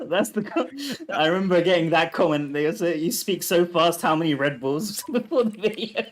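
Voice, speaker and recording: Against noticeable background noise, a man with a British accent speaks at a high pitch in an animated tone, with ordinary pitch variation. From UK. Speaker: gaming content creator. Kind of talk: casual chat. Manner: fast.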